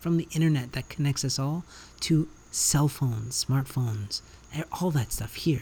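A man's somewhat breathy, dark, mellow voice at a fairly high pitch and moderate pace, with ordinary pitch variation. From Canada. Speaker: podcast host. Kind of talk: solo monologue. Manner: animated.

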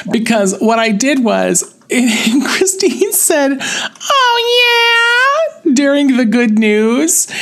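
Through noticeable background noise and audible room echo, a man speaks at a very slow pace with very even loudness. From upstate New York. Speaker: radio show host. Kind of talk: casual chat.

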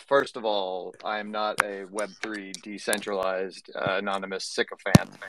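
A man speaks with a normal speaking voice. His pace is fairly slow and his pitch fairly low. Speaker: digital artist and CG educator. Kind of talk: casual chat. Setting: studio.

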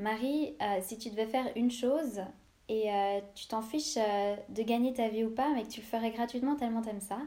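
With a dark, mellow tone, a woman speaks at a fairly high pitch and moderate pace, her intonation fairly even. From Switzerland, Lausanne. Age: 20s. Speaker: podcaster. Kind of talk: personal monologue podcast. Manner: hesitant, many fillers.

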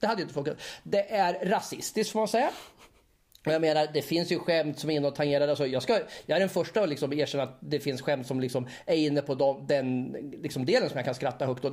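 A man with a fairly high pitch talks at a very fast pace. His pitch variation is ordinary. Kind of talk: casual chat. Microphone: small portable recorder with clip-on mic, more room echo.

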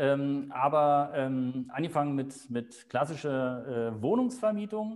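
With lively intonation and hardly any pauses, a man speaks at a very slow pace. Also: fairly high pitch for a man. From Berlin. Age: 50s. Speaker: real estate agent. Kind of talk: interview. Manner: hesitant, many fillers.

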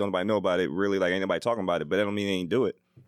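A man with a fairly low pitch is heard in a dry, close sound with no echo on a very clean recording with a silent background. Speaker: podcast panelist. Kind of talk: casual chat.

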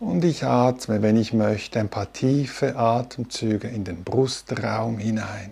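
Very slow and somewhat breathy, a man speaks at a medium pitch with ordinary pitch variation, his tone dark and mellow, calm and soothing. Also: hardly any pauses. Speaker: meditation teacher. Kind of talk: guided meditation. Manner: slow, calm and soothing, with long pauses between instructions.

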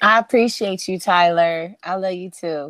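In a normal speaking voice, a woman with an American accent talks at a fairly low pitch with fairly even intonation, recorded dry and close with no echo, very clean, with a silent background. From Wisconsin. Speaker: podcast host. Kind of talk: casual chat.

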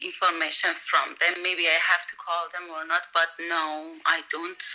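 Speaking at a fairly slow pace, a woman with a Persian accent has a fairly low pitch. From Iran. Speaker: voiceover and dubbing artist. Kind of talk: casual interview. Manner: halting.

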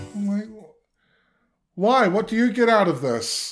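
A man with a New Zealand accent and lively intonation at a fairly slow pace, recorded very cleanly over a silent background. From New Zealand, of Cook Islands heritage. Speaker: playwright and actor. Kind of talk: casual interview. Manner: animated.

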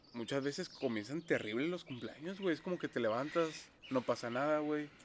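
A man with an ordinary speaking voice talks at a fairly quick pace, his pitch varying in an ordinary way. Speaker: podcast co-host. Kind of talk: casual chat. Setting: outdoors.

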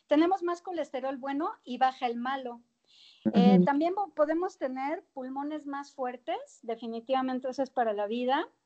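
Lively intonation marks this woman's high-pitched voice, which has a dark, mellow tone and a moderate pace. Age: 50s. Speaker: fitness trainer and nutrition coach. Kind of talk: interview.

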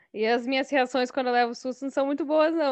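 A woman is speaking. Her voice sits high in pitch. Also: quiet background. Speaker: podcast guest. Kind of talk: casual chat.

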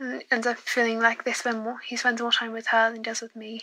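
A woman with a British accent speaks at a fairly quick pace in a fairly high pitch, her intonation monotone and flat. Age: 20s. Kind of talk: recorded voicemail question.

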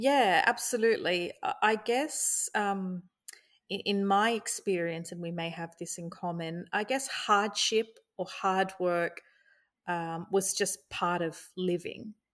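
A woman with an Australian accent speaks at a very slow pace with a medium pitch and ordinary pitch variation, on a very clean recording with a silent background. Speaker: journalist. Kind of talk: interview. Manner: halting.

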